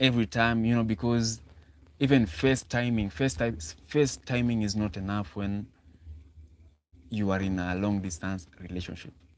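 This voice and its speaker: A man with a Kenyan accent speaks at a moderate pace, his fairly low pitch showing ordinary variation, broken by long, frequent pauses. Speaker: relationship talk livestreamer. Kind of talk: live stream talk. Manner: halting.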